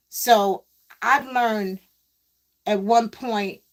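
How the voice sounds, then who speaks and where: A woman's fairly high-pitched voice with a New York accent. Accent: New York City. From New York City (Queens). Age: 60s. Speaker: live-stream host, former MC. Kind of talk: casual live-stream monologue. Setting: live stream while pedalling exercise bike.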